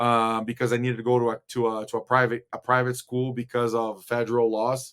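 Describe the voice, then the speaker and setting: Moving at a fairly quick pace, a man speaks. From Brazil, São Paulo. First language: Portuguese. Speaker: former college basketball player. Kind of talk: casual interview. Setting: video call. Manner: halting, many fillers.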